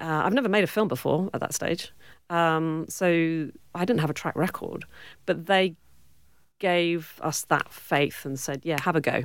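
Speaking at a fairly slow pace with a British accent, a woman uses ordinary pitch variation on a very clean recording with a silent background. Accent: British accent, still present. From Cornwall, southwest England. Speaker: film producer and director. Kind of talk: interview.

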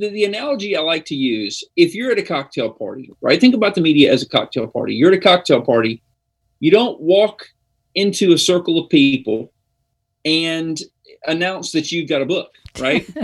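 A man's high-pitched voice at a moderate pace, with very wide pitch swings. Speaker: book publicist. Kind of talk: interview.

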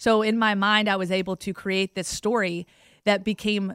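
A woman with an American accent and an ordinary speaking voice talks at a moderate pace and medium pitch, in a dry, close sound with no echo on a very clean recording with a silent background. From Virginia, US South (Roanoke area). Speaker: sports broadcaster. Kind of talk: interview.

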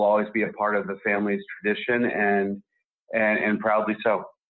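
A man talks at a fairly quick pace. His medium-pitched voice has a monotone, flat intonation. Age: 40s. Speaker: writer and film director. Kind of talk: interview.

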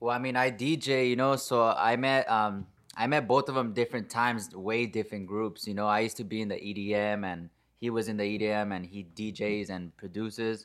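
A man with an American accent speaks in an ordinary speaking voice, fairly low in pitch and at a fairly quick pace. His intonation is fairly even, and the recording is very clean with a silent background. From San Fernando Valley, California. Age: 20s. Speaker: DJ. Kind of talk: casual chat.

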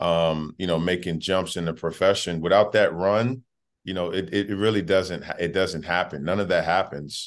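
Very deep and low in pitch, a man speaks with fairly even intonation over a quiet background. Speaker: college basketball head coach. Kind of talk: interview.

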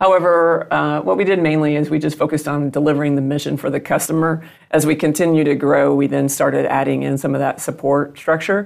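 A woman speaks very fast in a very deep, low voice with fairly even intonation. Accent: Southern US. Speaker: business executive guest. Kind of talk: interview.

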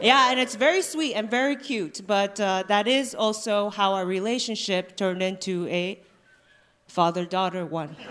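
A woman talks at a moderate pace in an unremarkable speaking voice, medium in pitch with ordinary pitch variation. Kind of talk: stand-up. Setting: stage with live audience.

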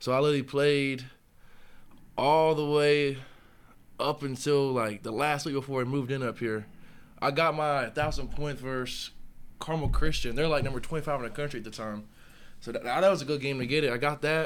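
A man with an American accent talks at a fairly quick pace and fairly high pitch, with fairly even intonation and long, frequent pauses. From Charlotte, North Carolina. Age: young (college freshman, about 18-19). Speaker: college football player (defensive lineman). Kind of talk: casual interview.

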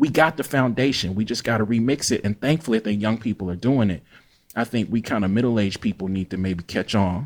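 A man with a Mississippi accent talks very fast at medium pitch with ordinary pitch variation. The recording is very clean with a silent background. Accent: Mississippi Southern US. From US South, Jackson, Mississippi. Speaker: writer and English professor. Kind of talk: interview conversation.

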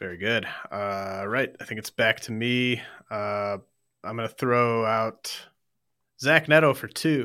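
On a very clean recording with a silent background, a man with a bright, sharp, medium-pitched voice talks at a fairly slow pace, with big swings in loudness and long, frequent pauses. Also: ordinary pitch variation. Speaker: fantasy baseball podcast host. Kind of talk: casual chat, auction draft banter. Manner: halting, filler-heavy.

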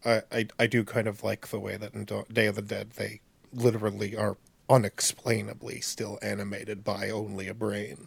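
A man with a fairly low pitch and vocal fry talks at a moderate pace in a deadpan tone, his intonation monotone and flat. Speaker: podcast co-host. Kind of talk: casual chat.

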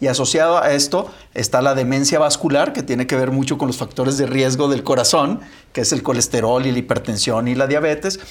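The man has a plain, everyday voice of medium pitch. He moves along at a fairly quick pace. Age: 50s. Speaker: physician co-host. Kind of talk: casual chat.

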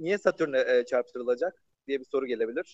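At a moderate pace, a man speaks in an unremarkable speaking voice. The fairly high pitch shows ordinary variation. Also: dry, close sound with no echo. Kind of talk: casual science explainer chat.

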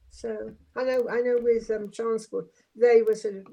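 A woman with a Welsh accent at a fairly slow pace. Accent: Welsh, noticeable. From Swansea, Wales. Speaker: former city councillor, ex teacher. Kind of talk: casual interview. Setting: live online call.

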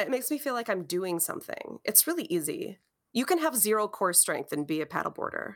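A woman with an Upper Midwest accent speaks at a fairly high pitch, her voice swinging very widely and showing vocal fry, in a very clean recording with a silent background. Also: fairly quick pace. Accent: Upper Midwest American. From Wisconsin. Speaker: podcast co-host. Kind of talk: casual chat.

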